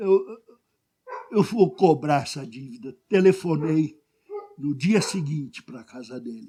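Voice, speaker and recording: A man with a fairly high pitch speaks very slowly, with lively intonation and long, frequent pauses. His loudness swings widely. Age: 70s. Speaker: pastor. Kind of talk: sermon.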